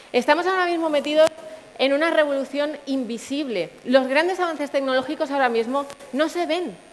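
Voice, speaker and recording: Over noticeable background noise, a woman talks at a fairly quick pace with ordinary pitch variation. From Canary Islands (Puerto de la Cruz, Tenerife). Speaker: engineer, tech sales manager, conference speaker. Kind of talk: conference talk.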